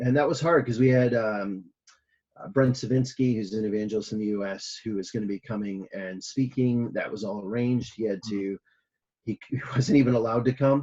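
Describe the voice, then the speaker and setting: At a fairly quick pace, the speech carries a dark, mellow tone. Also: man, medium pitch for a man, ordinary pitch variation. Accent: Michigan. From US Midwest, Michigan. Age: 30s. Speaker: missionary pastor. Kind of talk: interview.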